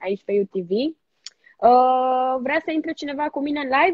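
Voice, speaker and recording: A woman speaks with ordinary pitch variation. The sound is dry with no echo, and the background is quiet. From Romania. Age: 20s. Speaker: TV presenter. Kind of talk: casual chat. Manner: animated. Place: home room. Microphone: phone near.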